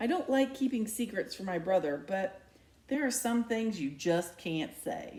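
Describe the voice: Lively intonation over plain reading aloud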